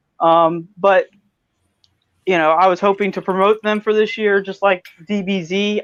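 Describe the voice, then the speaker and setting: The man's high voice stays monotone, his intonation flat. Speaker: cosplay photographer. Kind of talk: casual chat. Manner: soft-spoken.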